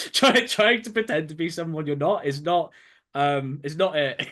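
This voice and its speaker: Bright and sharp in tone, a man's high-pitched voice moves with lively intonation. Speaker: game development student. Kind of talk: interview. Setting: webinar. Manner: halting.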